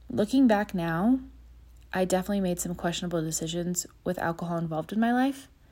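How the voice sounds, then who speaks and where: Speaking at a very fast pace, a woman has a fairly low, somewhat breathy voice with lively intonation. The recording is very clean, with a silent background. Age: 30s. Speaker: podcaster sharing personal sobriety story. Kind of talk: personal monologue.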